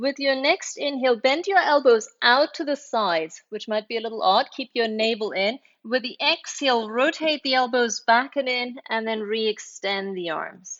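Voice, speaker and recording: A woman with a high pitch keeps a calm tone and lively intonation. She speaks with hardly any pauses. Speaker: yoga teacher. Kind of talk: guided yoga class. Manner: slow.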